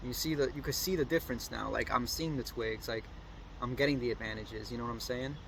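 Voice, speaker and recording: A man rattles along at a very fast speed amid noticeable background noise. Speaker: FPV drone pilot and video creator. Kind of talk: casual flight commentary to camera. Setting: outdoors on balcony, drizzling. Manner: fast, not super cohesive.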